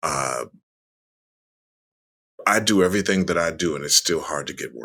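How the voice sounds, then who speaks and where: A man speaks with a very deep, low pitch, vocal fry, and a bright, sharp tone. His pace is moderate, his pitch varies in an ordinary way, and his loudness swings widely. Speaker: voice actor. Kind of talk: interview answer.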